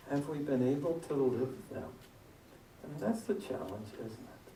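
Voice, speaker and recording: Amid audible room echo and noticeable background noise, the speech runs at a fairly slow pace with long, frequent pauses. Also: man, big swings in loudness. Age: 60s. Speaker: guest minister. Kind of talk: sermon. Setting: church. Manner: interactive, conversational.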